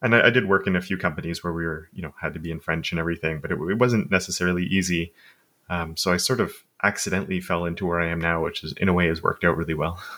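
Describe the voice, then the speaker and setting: A man with a Montreal accent: very deep, low pitch, bright and sharp tone, fairly even intonation, very fast pace, very clean recording with a silent background. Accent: English-speaking Montreal Canadian. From Quebec, Canada (Montreal suburbs, anglophone). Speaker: web development educator. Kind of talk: casual interview conversation.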